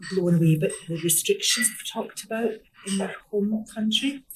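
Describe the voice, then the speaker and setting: A woman with a Glaswegian accent and ordinary pitch variation. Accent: Glaswegian Scottish. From Scotland, Glasgow. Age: 60s. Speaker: community volunteer. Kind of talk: casual interview. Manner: animated.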